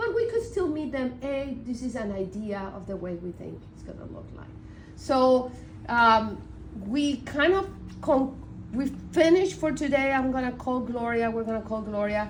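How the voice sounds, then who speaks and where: A woman with high pitch and lively intonation, moderate pace, big swings in loudness, and audible room echo. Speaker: community design project lead. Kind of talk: work meeting.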